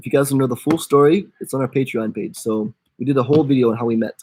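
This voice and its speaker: An American accent at a very fast pace. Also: man. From USA. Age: 20s. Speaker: travel vlogger.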